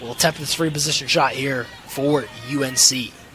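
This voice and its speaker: Over noticeable background noise, a man speaks in an energetic tone at a fairly high pitch. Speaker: sports broadcaster / student sports media major. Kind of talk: live TV lacrosse play-by-play. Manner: fast, energetic.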